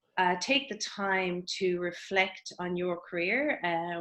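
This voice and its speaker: Her voice is fairly low in pitch. The woman keeps her intonation fairly even. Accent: Irish. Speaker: career coach. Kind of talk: webinar presentation. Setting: online webinar.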